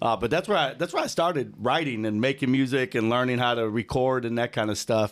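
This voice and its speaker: Very fast and very even in loudness, a man speaks at medium pitch with ordinary pitch variation. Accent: American. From Chicago suburbs, Illinois. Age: 40s. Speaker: teacher and recording artist. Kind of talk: casual interview chat. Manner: relaxed, conversational.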